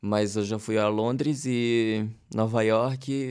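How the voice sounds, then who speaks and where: A man's very slow, medium-pitched speech with fairly even intonation, on a very clean recording with a silent background. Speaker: singer, songwriter and comedian. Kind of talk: casual interview. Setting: studio.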